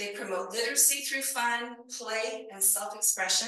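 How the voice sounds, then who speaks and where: A woman speaks at a fairly high pitch, with audible echo from the room. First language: not English. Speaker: librarian conference speaker. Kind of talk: conference presentation.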